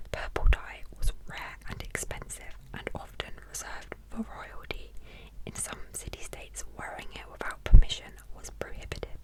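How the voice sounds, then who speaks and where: Whispering at a moderate pace, a woman shows big swings in loudness over noticeable background noise. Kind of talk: ASMR history facts narration. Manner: whispered, soft, relaxing.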